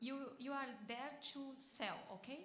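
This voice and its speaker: A woman's high-pitched voice carries audible room echo amid noticeable background noise. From Brazil. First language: Portuguese. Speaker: bariatric surgeon, audience member at a panel. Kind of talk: audience question and answer at a conference panel. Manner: halting, with repetitions.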